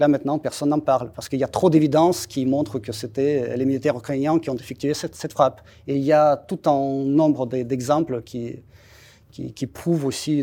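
A man with a Russian accent talks at a medium pitch in a dark, mellow tone with fairly even intonation, on a very clean recording over a silent background. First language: Russian (speaking French). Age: 40s. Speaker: embassy spokesman. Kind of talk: interview. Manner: halting, frequent repetitions.

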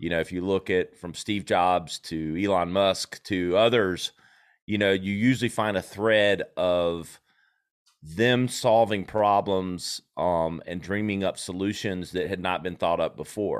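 On a very clean recording with a silent background, a man with an American accent speaks in a very deep, low pitch. His pace is fairly slow and his intonation fairly even. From South Carolina. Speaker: marketing agency CEO and podcast host. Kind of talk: interview.

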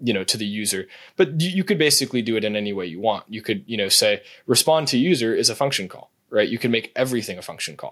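A man talks very fast with lively intonation at a medium pitch, on a very clean recording with a silent background. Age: 20s. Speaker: AI startup founder. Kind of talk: casual interview.

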